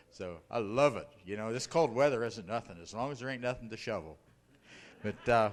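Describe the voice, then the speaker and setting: A man with an American accent and an ordinary speaking voice, medium in pitch with ordinary pitch variation, at a fairly quick pace, with big swings in loudness. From northern Ohio (Akron), US Midwest. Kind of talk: testimony. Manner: casual, folksy with fillers.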